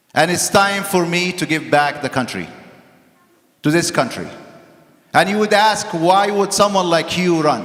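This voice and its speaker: At a moderate pace, a man with a high pitch and a non-native accent speaks with long, frequent pauses. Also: ordinary pitch variation. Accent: foreign accent, immigrant. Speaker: political candidate, doctor. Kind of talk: campaign speech.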